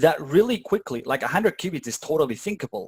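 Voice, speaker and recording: At a fairly quick pace, a man with a somewhat breathy voice makes very wide pitch swings, in a dry, close sound with no echo and a very clean recording with a silent background. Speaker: meetup presenter learning quantum computing. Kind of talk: informal technical walkthrough with live audience. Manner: fast; hesitant, many fillers.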